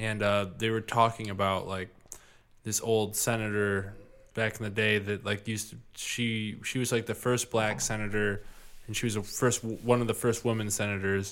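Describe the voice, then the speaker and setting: A man with a Midwestern US accent speaks with monotone, flat intonation. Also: fairly low pitch for a man, moderate pace. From US Midwest. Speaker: podcast host. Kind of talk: casual chat.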